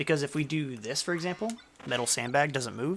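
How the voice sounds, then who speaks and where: A man talks in an animated tone with lively intonation. His pace is fairly quick. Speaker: gaming content creator. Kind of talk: tutorial. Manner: casual, animated.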